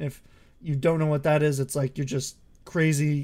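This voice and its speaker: Speaking at a moderate pace with an American accent, a man has a fairly high pitch, fairly even intonation, and a dark, mellow, somewhat breathy tone. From Ohio. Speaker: podcast co-host. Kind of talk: casual chat.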